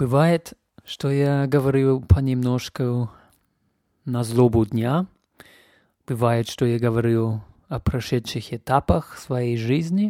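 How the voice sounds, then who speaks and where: A man with a non-native accent speaks very slowly, leaving long, frequent pauses, at a medium pitch with a dark, mellow tone. The recording is very clean and dry, close with no echo, and the background is silent. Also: ordinary pitch variation. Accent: foreign accent in Russian. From Canada. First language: English (speaking Russian). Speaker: podcast host. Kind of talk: casual monologue. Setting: home.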